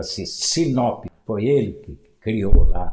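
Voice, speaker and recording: Speaking at a very slow pace, a man uses a medium pitch with ordinary pitch variation and a dark, mellow, somewhat breathy tone. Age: 80s+. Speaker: former mayor and local historian. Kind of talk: interview storytelling.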